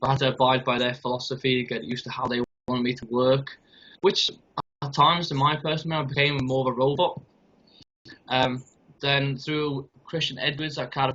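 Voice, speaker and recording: A man's medium-pitched voice in a North Welsh accent, fairly quick and monotone, with flat intonation. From North Wales. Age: 20s. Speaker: youth football coach. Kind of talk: interview.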